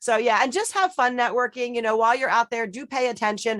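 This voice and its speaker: A woman with a fairly high pitch and an animated tone. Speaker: networking group organizer. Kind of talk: panel discussion. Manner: fast.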